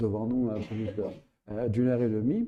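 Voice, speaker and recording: A man speaks in a dark, mellow tone, somewhat breathy and fairly low in pitch. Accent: Provençal. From Provence, southern France. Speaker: astrophysicist and writer. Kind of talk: public interview. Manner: hesitant, with many fillers.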